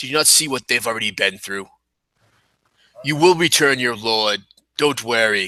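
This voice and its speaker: Using a put-on character voice, a man speaks at a medium pitch and moderate pace with long, frequent pauses. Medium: actual play. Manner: calm, reasonable.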